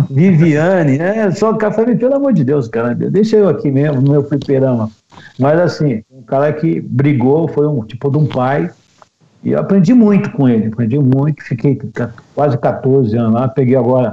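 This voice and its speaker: With lively intonation, a man delivers his words at a moderate speed in a normal speaking voice. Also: fairly high pitch for a man. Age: 50s. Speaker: radio announcer. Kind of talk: casual interview chat.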